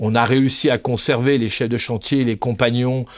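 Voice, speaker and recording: Against a very clean, silent background, a man speaks at a medium pitch and a moderate pace. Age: 60s. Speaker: HR director. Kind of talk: podcast interview. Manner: halting, many repetitions and hesitations.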